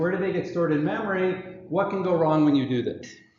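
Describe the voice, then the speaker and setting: Talking at a fairly quick pace with a high pitch and ordinary pitch variation, a man is heard with audible room echo. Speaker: professor. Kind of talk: lecture. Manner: fast.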